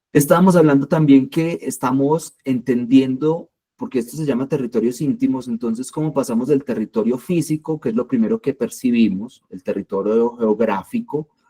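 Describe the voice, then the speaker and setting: With a strong Colombian accent, a man of medium pitch speaks at a moderate pace with hardly any pauses and ordinary pitch variation. His tone is dark and mellow, and the sound is dry and close, with no echo. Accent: strong paisa accent, marked s. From Colombia, Medellín. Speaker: creative writing workshop leader. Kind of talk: workshop lecture. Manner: hesitant, many fillers.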